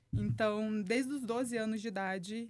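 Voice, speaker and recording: Her pitch is medium. The woman talks at a moderate pace. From Brazil, Volta Redonda, interior of Rio de Janeiro state. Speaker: entrepreneur and human performance specialist. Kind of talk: podcast interview.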